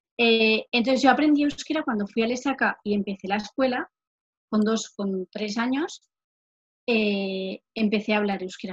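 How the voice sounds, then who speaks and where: A woman speaks at a moderate pace in a fairly high, somewhat breathy voice, with ordinary pitch variation and big swings in loudness, recorded dry and close with no echo. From Navarre, Spain (Lesaka, Basque-speaking area). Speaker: occupational therapy student. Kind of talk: casual interview.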